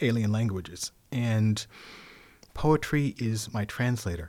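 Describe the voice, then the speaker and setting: A man at a medium pitch speaks at a fairly slow pace on a very clean recording with a silent background. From San Francisco, California. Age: 50s. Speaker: poet and performer. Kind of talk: casual interview chat.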